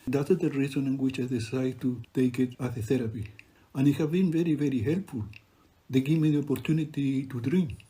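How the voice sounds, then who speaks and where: Somewhat breathy with a dark, mellow tone, a man of medium pitch speaks at a fairly quick pace with ordinary pitch variation. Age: 70s. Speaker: refugee photographer and poet. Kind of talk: narrated exhibition talk.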